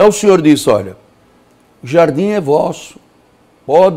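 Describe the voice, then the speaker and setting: A man is speaking. His pace is moderate. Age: 60s. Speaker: pastor. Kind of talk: sermon. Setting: studio.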